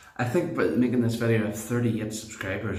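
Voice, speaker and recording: A somewhat breathy male voice with audible room echo. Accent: Northern Irish. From Northern Ireland. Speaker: shaving video creator. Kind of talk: casual tutorial monologue.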